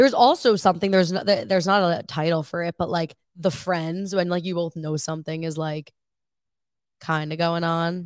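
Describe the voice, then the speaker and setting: On a very clean recording with a silent background, a woman with an American accent speaks in a normal speaking voice, fairly low in pitch with ordinary pitch variation, at a fairly quick pace. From Long Island, New York. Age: 20s. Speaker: student podcast co-host. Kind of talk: casual chat.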